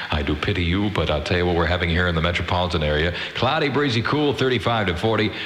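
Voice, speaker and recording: Upbeat and animated, a man speaks at a very fast pace with lively intonation, very even loudness and hardly any pauses, over noticeable background noise. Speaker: radio DJ. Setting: radio broadcast. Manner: fast, upbeat, jokey and animated, with a wisecracking, high-energy DJ delivery.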